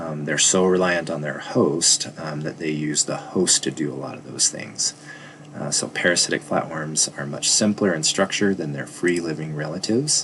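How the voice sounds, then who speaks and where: A man's very deep, low voice with fairly even intonation over noticeable background noise. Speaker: biology teacher. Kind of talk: lecture. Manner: fast.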